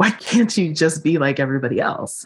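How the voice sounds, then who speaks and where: A woman speaks with an American accent. Her voice is very deep and low-pitched. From US Northeast, Philadelphia. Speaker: body liberation coach. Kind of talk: interview.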